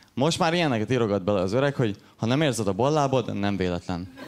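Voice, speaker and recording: A man uses a normal speaking voice at a medium pitch. He talks at a fairly quick pace with lively intonation. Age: 20s. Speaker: stand-up comedian. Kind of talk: stand-up. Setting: stage with audience.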